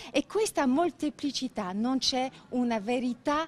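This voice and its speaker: In a French accent, a woman with a high voice speaks with lively intonation. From Belgium, Brussels. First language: French (speaking Italian). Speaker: business owner. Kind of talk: interview. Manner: halting.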